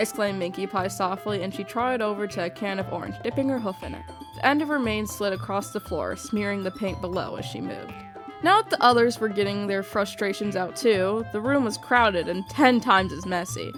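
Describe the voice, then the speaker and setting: Music can be heard in the background. Over it, a woman speaks fairly quickly. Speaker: audiobook narrator. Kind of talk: fan fiction audiobook narration. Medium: read story.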